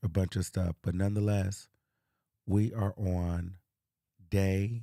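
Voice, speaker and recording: A man speaks with a very deep, low pitch and a dark, mellow tone, at a fairly slow pace with fairly even intonation, in a dry, close sound with no echo on a very clean recording with a silent background. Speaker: manifestation coach. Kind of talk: live stream. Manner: quiet.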